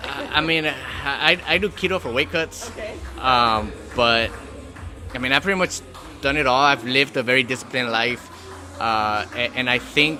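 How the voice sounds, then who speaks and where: With music in the background, a man talks at a moderate pace and medium pitch, using ordinary pitch variation and long, frequent pauses. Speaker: amateur boxer. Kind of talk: interview answer. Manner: soft-spoken.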